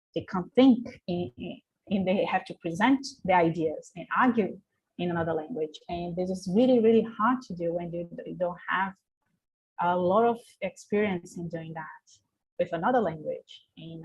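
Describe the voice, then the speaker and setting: A woman with a Portuguese accent speaks somewhat breathily at a medium pitch and moderate pace, with ordinary pitch variation and big swings in loudness. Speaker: researcher. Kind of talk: panel discussion. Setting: video call. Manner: halting.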